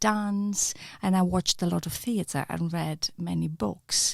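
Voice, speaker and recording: On a very clean recording with a silent background, a somewhat breathy woman speaks with a Greek accent at a fairly slow pace. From Greece (Ioannina). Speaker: acting lecturer and researcher. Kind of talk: podcast interview.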